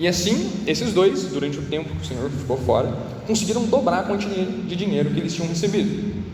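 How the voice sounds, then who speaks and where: A man speaks with audible echo in the room. Noticeable noise sits in the background. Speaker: youth preacher. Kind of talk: sermon. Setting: room with echo, live audience. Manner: fast.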